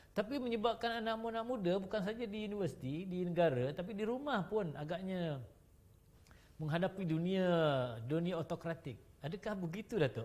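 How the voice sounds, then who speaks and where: A man with a high pitch and lively intonation speaks at a fairly quick pace. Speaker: talk show host. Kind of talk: panel discussion.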